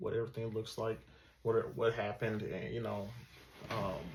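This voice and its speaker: Somewhat breathy and medium in pitch, a man speaks at a fairly quick pace. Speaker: student. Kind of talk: class project presentation. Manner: halting, many fillers.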